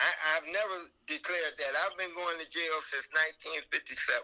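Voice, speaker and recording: A man with a high pitch projects a raised voice. His tone is bright and sharp. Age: 70s. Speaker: former inmate. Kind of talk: interview. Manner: halting.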